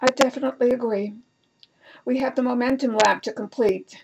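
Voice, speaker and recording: A woman's put-on character voice, raspy and high-pitched, in a flat monotone at a fairly quick pace. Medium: read story. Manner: dry, matter-of-fact.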